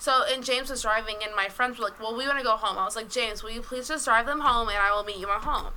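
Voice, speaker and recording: A woman's fairly high voice at a very fast pace over noticeable background noise. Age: 20s. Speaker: podcast guest. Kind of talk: casual chat.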